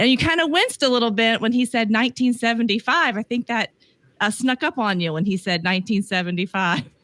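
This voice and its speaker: With a Southern US accent, a woman with a fairly high pitch speaks at a very fast pace with lively intonation, in a dry, close sound with no echo. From US South. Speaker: podcast host and relationship coach. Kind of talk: casual podcast chat.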